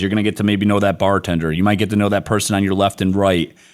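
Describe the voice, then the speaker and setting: A man with a Midwestern accent talks at a very fast pace in an animated tone. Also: very clean recording, silent background. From US Midwest, Detroit. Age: 40s. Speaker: business executive. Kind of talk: podcast interview.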